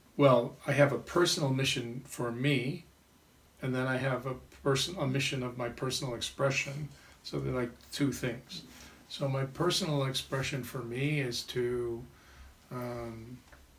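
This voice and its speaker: A man speaks in an ordinary speaking voice at medium pitch. His pace is fairly slow and his intonation fairly even. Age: 60s. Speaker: vedic astrologer and life coach. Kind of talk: interview.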